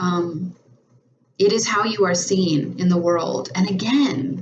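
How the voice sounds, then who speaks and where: Lively intonation rises and falls against audible room echo. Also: woman. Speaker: tarot reader and spiritual coach. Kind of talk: tarot reading monologue. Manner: over-enunciated, precise diction; hesitant, many fillers and repeats.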